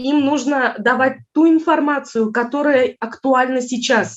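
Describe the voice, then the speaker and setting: A woman speaks in a Tatar accent. Her pitch is high, with ordinary variation. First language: Tatar (speaking Russian). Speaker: Russian language teacher. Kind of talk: conference talk. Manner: hesitant, many filler sounds.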